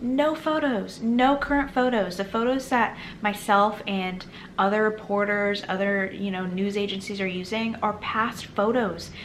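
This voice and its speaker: A woman at medium pitch speaks at a fairly slow pace with ordinary pitch variation, with audible room echo and noticeable background noise. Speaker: political commentary youtuber. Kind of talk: reading and commenting on news article.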